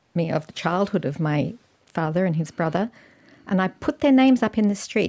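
This very clean recording with a silent background has a dry, close sound with no echo and a voice in an Australian accent. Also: woman. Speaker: artist and academic. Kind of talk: interview.

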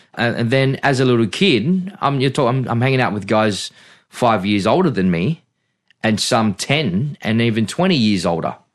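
An Australian accent from a man at medium pitch, lively in intonation, very even in loudness, at a moderate pace over a quiet background. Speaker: pastor. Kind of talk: interview, life story testimony. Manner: halting, many fillers and restarts.

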